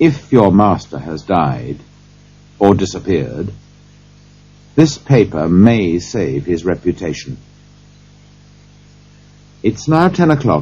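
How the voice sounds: A man uses a put-on character voice, low-pitched with a husky, rough edge and big pitch swings. He talks at a slow pace, with long, frequent pauses. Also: slightly mellow tone.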